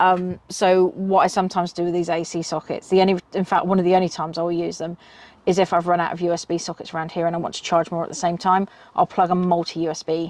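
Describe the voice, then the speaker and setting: A woman with a British accent races along at a very fast pace in a fairly low pitch with monotone, flat intonation. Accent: UK. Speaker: car camping vlogger. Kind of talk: product review. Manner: casual, many filler ums.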